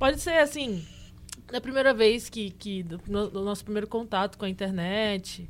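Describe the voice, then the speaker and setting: A woman with an unremarkable speaking voice talks at moderate pace and medium pitch. Her pitch variation is ordinary, but her loudness swings a lot. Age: 20s. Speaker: podcast co-host. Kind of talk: casual chat.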